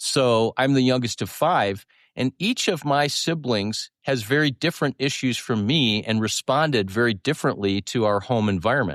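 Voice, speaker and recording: A man with a plain, everyday voice and a medium pitch speaks at a moderate pace with ordinary pitch variation, very even loudness and hardly any pauses, in a dry, close sound with no echo over a quiet background. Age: 60s. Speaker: therapist and podcast host. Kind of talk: conversational teaching.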